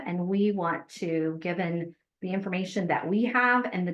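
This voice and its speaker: A woman with a plain, everyday voice speaks at a fairly low pitch and a fairly slow pace. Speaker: farmer and grant program administrator. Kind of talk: webinar presentation and Q&A.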